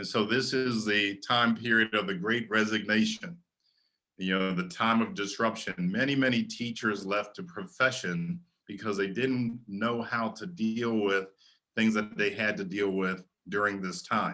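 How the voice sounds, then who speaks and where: A man speaks with an American accent at a fairly slow pace. His medium pitch has ordinary variation and a bright, sharp tone. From US, Maryland. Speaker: education speaker, futurist. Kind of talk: webinar lecture. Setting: online webinar.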